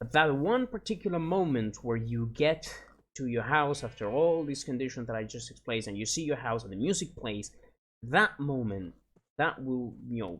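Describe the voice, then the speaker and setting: A man with a Spanish accent speaks with lively intonation on a very clean recording with a silent background. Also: medium pitch for a man, moderate pace. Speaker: gaming YouTuber. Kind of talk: casual gameplay commentary. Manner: halting, searching for words.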